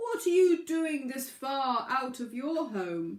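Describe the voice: This female-sounding voice is a put-on character voice. The pitch is high. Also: fairly slow pace.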